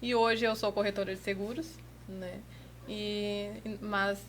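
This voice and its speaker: A woman is speaking. Her pace is moderate. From southern Brazil, Rio Grande do Sul (Bagé). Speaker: rodeo lasso competitor. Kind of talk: podcast interview. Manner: casual, conversational.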